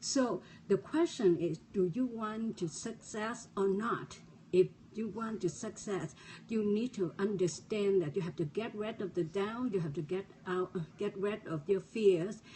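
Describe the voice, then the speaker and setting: At a fairly slow pace, a somewhat breathy woman speaks at a medium pitch with ordinary pitch variation. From refugee, resettled abroad. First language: not English. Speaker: motivational speaker. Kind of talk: motivational talk. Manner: halting, repeated words.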